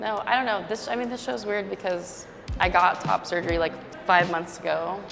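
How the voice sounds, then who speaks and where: Over background music, a woman with an American accent talks at a moderate pace and medium pitch with lively intonation. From Chicago, Illinois. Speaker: painter. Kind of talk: interview. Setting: art gallery. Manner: casual, many fillers.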